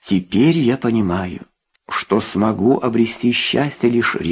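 Natural-sounding read-aloud voice over a quiet background

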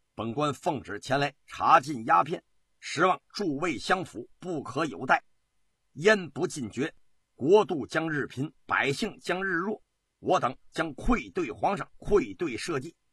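A man puts on a character voice with fairly high pitch, a bright, sharp tone with a husky, rough edge, lively intonation and a fairly slow pace.

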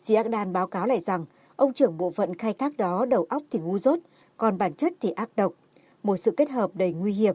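What we hear is an unforced reading voice.

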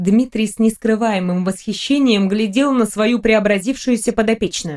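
With ordinary pitch variation, a natural voice reads aloud.

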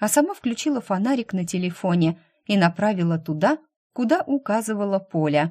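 Reading aloud in a natural voice with lively intonation, against a quiet background

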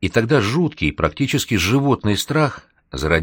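An unforced reading voice carries lively intonation. The background is quiet.

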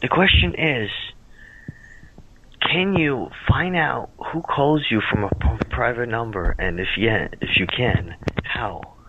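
Very slow speech from a man at medium pitch, with very wide pitch swings, long, frequent pauses and noticeable background noise. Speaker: caller to a call-in show. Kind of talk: casual, profane. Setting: phone.

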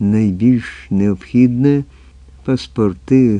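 An unforced reading voice is heard. Nothing else changes it throughout.

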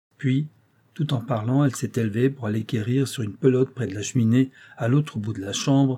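Unforced reading voice throughout

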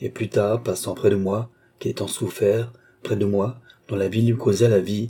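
The intonation is fairly even. A natural reading voice carries the text.

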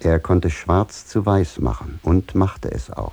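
A man's put-on character voice, low in pitch and slow, with vocal fry, a slightly husky edge, a slightly mellow tone and lively intonation.

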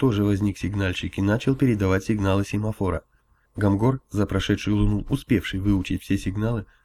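Intonation holds fairly even here. It comes in a natural reading voice.

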